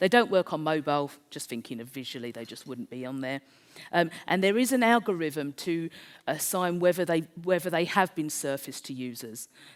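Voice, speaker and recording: A woman with a South East London accent, very deep and low in pitch, at a fairly quick pace with very wide pitch swings. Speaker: conference speaker. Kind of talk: presentation.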